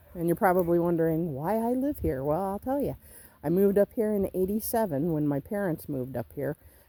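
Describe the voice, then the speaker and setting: Someone with an American accent speaks fairly quickly, using lively intonation and a dark, mellow tone. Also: woman, fairly low pitch for a woman. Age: 60s. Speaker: homesteader vlogger. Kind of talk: casual vlog talk to camera.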